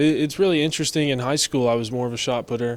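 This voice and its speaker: A man speaks in a West Texas accent with fairly even intonation. The recording is very clean, with a silent background. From West Texas, Amarillo. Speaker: college athlete. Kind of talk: sports interview.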